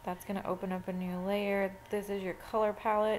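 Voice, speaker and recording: A woman's medium-pitched voice, monotone and flat, at a moderate pace. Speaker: photo editing tutor. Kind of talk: tutorial.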